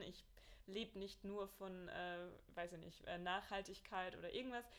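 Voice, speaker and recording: This woman's pitch is medium, with ordinary variation. She talks at a moderate pace. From Bavaria (Mühldorf). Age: 20s. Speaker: marathon runner and entrepreneur. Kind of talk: casual interview.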